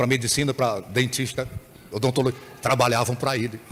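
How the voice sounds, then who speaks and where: A somewhat breathy man in an animated tone. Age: 60s. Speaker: bishop. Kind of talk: sermon.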